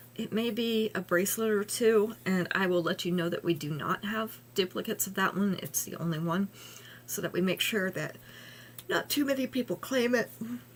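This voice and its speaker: A woman's raspy, put-on character voice, medium in pitch, with lively intonation and a moderate pace. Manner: sleepy, slow.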